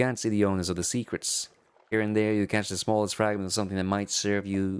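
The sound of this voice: An unforced reading voice carries the clip.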